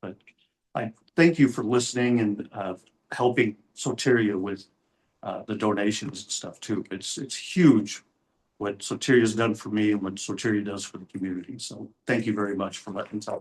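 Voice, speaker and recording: The man has a normal speaking voice, fairly low in pitch, with ordinary pitch variation. He talks at a moderate pace with big swings in loudness. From Texas. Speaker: program participant. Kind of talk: testimony.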